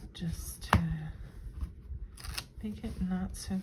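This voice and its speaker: The speaker is soft-spoken and talks at a very slow pace. Noticeable background noise runs underneath. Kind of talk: crafting tutorial talk to camera.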